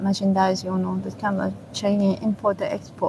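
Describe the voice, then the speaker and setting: Against noticeable background noise, a woman speaks with a Chinese accent. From China. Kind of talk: interview testimony. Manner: halting.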